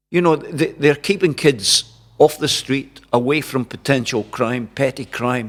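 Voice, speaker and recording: A man with a Scottish accent, medium pitch and lively intonation, on a very clean recording with a silent background. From Dundee, Scotland. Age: 70s. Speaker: journalist and broadcaster, former amateur boxing champion. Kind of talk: interview answer.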